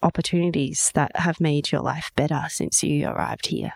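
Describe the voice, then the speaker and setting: A woman with an Australian accent and a very deep, low pitch is heard in a dry, close sound with no echo. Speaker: podcast host. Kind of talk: interview.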